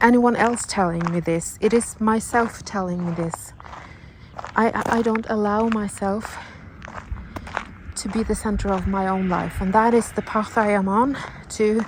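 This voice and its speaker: With a Norwegian accent, a woman talks in a fairly even intonation, leaving long, frequent pauses over noticeable background noise. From Norway. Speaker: vlogger. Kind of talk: personal vlog monologue. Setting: outdoors, walking in the mountains. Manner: halting, with many fillers and restarts.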